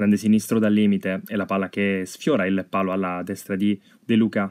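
In a very clean recording with a silent background, a man talks in a fairly low pitch with monotone, flat intonation. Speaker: sports commentator. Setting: studio voiceover of match highlights. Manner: hesitant with frequent filler 'eh' pauses.

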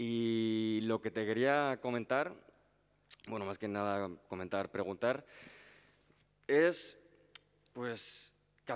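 Against a quiet background, the man's intonation is fairly even. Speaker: student council member. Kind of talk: audience question. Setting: university auditorium. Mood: polite, thoughtful. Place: hall.

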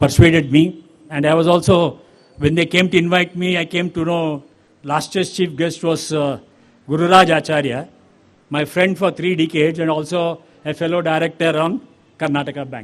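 This man's voice has a fairly high pitch and fairly even intonation. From Chennai, Tamil Nadu. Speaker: bank chairman, chief guest. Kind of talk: ceremonial speech. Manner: code-switching Kannada and English.

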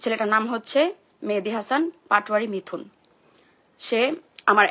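Her voice sits at a fairly high pitch for a woman, bright and sharp in tone, with ordinary pitch variation. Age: 20s. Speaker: social media personality. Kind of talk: emotional live-stream monologue. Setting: social media live stream.

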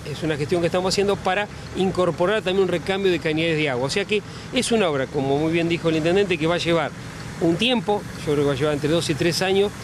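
The speech moves at a fast pace with ordinary pitch variation over clear background noise. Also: man, fairly high pitch for a man.

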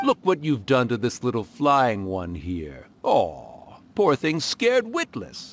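Using a put-on character voice, a man speaks slowly at a medium pitch with very wide pitch swings.

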